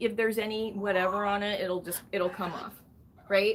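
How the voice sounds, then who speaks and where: A woman's fairly high voice in a monotone, flat intonation, with noticeable background noise. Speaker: parrot rescue channel host. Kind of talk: live stream chat with viewers. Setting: live stream from bird room.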